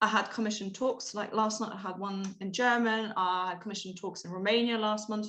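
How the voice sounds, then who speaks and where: At a fairly high pitch, a woman talks at a fairly quick pace with hardly any pauses and a monotone, flat intonation. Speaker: researcher and guest speaker. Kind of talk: talk to online audience. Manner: fast.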